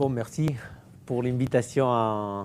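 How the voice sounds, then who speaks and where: Very slowly, a man talks. He has a non-native accent. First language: Catalan or Spanish (speaking French). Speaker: underwater archaeologist. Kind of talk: lecture. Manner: slow, deliberate; halting, many hesitations.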